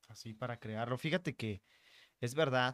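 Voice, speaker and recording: The recording is very clean, with a silent background. The voice is a man's. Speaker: podcaster. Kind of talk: casual interview. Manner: clear.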